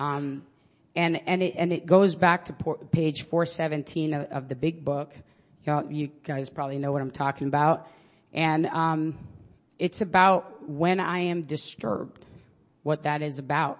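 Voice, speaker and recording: The speaker has a New York accent and a very slow pace. Long, frequent pauses break up the speech. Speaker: public defender sharing at an AA meeting. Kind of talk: candid personal recovery share with some profanity. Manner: talkative, tends to go on at length.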